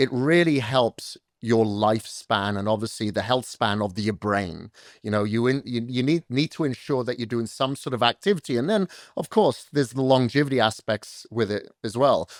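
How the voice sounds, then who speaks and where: A man's unremarkable speaking voice with ordinary pitch variation, a dry, close sound with no echo, in a very clean recording with a silent background. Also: medium pitch for a man, moderate pace. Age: 50s. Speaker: fitness coach. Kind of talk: podcast interview.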